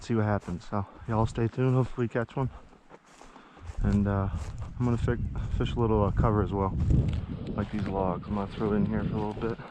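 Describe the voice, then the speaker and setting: A quiet man talks at a fairly quick pace. His voice is fairly low, with fairly even intonation. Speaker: outdoors vlogger, angler. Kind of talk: casual vlog narration. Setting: outdoors by a creek. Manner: hushed.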